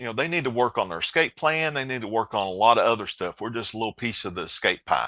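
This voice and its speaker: A man's medium-pitched, bright, sharp voice in an Appalachian accent, very fast with hardly any pauses and lively intonation. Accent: Appalachian mountain accent, noticeable. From Appalachia, southwest Virginia mountains. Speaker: co-founder of a financial safety app. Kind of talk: podcast interview. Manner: conversational, halting with repeats.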